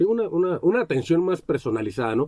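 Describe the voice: A man speaks at a fast pace in a dark, mellow tone, his fairly high pitch making big swings.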